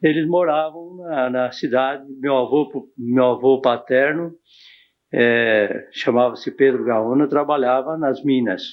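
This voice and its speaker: The man speaks at a very slow pace. His medium pitch holds fairly even intonation. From interior of São Paulo state, Brazil. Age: 60s. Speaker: local pioneer interviewee. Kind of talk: oral history interview.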